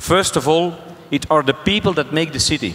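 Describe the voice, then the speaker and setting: There is noticeable background noise as a man speaks with a Flemish accent. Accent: Belgian Dutch (Flemish) accent in English. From Belgium. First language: Dutch. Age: 60s. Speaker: mayor. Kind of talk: panel discussion. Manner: halting.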